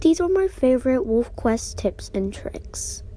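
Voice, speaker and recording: A woman's dark, mellow, somewhat breathy voice at a moderate pace, with very wide pitch swings. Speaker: gaming YouTuber. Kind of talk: gaming tutorial.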